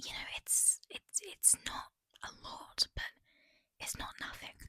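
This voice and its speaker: A woman whispers very slowly in a British accent, the sound dry and close with no echo. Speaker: book vlogger. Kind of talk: casual vlog. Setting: holiday rental house. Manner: hesitant, many fillers; whispering.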